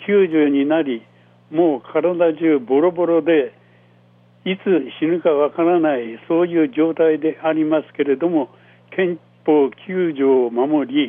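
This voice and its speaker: A man talks at a very slow pace. His pitch sits fairly high, with ordinary variation. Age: 90s. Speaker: war survivor and former trade association leader. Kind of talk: testimony. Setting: phone call. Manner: deliberate, halting phrasing.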